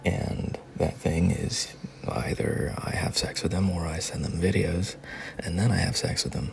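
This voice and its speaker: Over noticeable background noise, a man with a very deep, low voice talks at a fairly slow pace with ordinary pitch variation. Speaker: voice actor. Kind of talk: heartfelt personal advice talk. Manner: soothing, calming.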